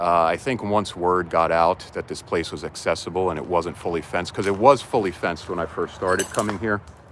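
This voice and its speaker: A man speaks with a New Jersey accent. His pitch is very deep and low. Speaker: livestreamer exploring abandoned malls. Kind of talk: live-stream walkthrough. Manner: casual, filler-heavy.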